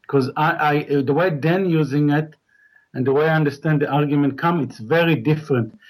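This man's voice sits fairly high and sounds somewhat breathy. His pace is moderate, with ordinary pitch variation. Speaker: caller. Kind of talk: call-in debate.

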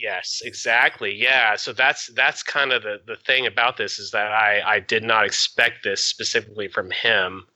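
At a moderate pace, a man with an ordinary speaking voice talks in a medium pitch with fairly even intonation and hardly any pauses. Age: 30s. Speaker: caller. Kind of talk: call-in advice conversation.

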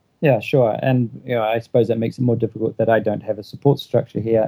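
Speaking with a New Zealand accent, a man uses a medium pitch, a dark, mellow tone and fairly even intonation. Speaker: stay-at-home father. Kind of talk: advice call.

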